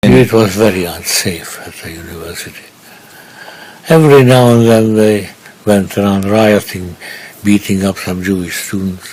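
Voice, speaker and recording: A man with a Hungarian accent talks at a moderate pace and a fairly low pitch. Noticeable background noise runs underneath. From Budapest, Hungary. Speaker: Holocaust survivor. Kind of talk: interview answer.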